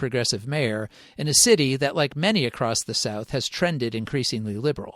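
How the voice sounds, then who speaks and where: Over a silent background in a very clean recording, a man with a fairly high pitch talks at a very fast pace with lively intonation, the sound dry and close with no echo. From US Northeast, Rochester, New York. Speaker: podcast host and journalist. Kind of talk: scripted narration. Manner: formal.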